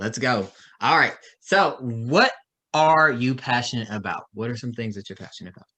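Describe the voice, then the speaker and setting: A man with a strong Texan accent talks at a moderate pace. His tone is bright and sharp, with big swings in loudness. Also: medium pitch for a man, ordinary pitch variation. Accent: Texas accent, strong by own claim. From Dallas, Texas. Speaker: interview show host. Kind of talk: casual interview chat.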